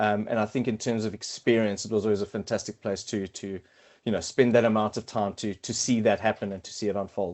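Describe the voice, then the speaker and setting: A man with a South African accent talks at a very fast pace. His fairly low voice stays monotone and flat. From South Africa, Cape Town. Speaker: quantity surveyor and consultant team lead. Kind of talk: podcast interview. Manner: halting, many fillers and repetitions.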